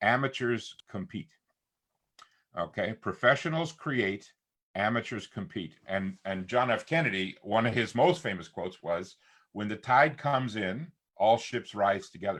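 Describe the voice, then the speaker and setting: Using a normal speaking voice, a man talks at a medium pitch with lively intonation and a fairly slow pace. The recording is very clean, with a silent background. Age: 60s. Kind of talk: casual chat.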